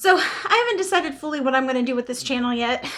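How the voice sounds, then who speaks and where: A woman speaks in a high voice with ordinary pitch variation. The recording is very clean, with a silent background. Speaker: beauty vlogger. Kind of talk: makeup tutorial. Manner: casual.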